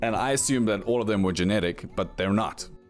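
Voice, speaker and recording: Music plays behind a man with a fairly low pitch. He speaks at a fairly quick pace with ordinary pitch variation. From South Africa, Cape Town. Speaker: YouTube narrator. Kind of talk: scripted narration.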